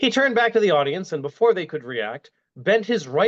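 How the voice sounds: Quiet surroundings and a natural reading voice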